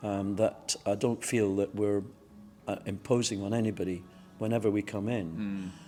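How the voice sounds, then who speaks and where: With music in the background, a man speaks at a moderate pace in a fairly low pitch, his intonation monotone and flat. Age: 60s. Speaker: CrossFit member, ex-military. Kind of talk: casual interview. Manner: halting, many fillers.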